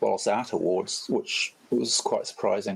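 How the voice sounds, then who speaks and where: Noticeable background noise sits behind the speaker. He is a man with a New Zealand accent. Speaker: photographer. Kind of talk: casual chat. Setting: online voice chat. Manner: halting, many fillers.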